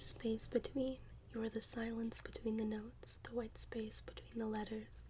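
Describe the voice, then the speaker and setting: Whispering in a soft-spoken, gentle tone, a woman talks at a moderate pace over noticeable background noise. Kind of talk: poetry reading. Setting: close-mic ASMR recording. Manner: soft-spoken, gentle, whispery.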